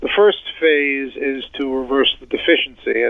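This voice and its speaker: A man's unremarkable speaking voice, fairly high in pitch, fairly slow, with fairly even intonation. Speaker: podiatric physician and researcher. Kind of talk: interview discussing research.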